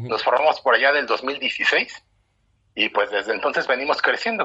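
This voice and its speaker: This man has a Mexican accent. He speaks at a moderate pace. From Mexico. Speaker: running club founder. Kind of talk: interview.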